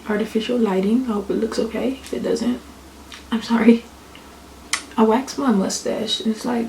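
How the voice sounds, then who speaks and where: A quiet, whispering woman at a moderate pace, with long, frequent pauses and noticeable background noise. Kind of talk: casual talk to camera. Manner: whispered.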